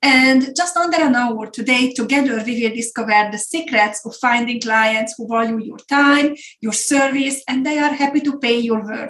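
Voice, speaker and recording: This voice has a Hungarian accent and a moderate pace with hardly any pauses. Pitch varies in an ordinary way while loudness swings a lot. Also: woman, high pitch for a woman. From Hungary. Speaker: business coach and consultancy founder. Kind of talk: webinar presentation.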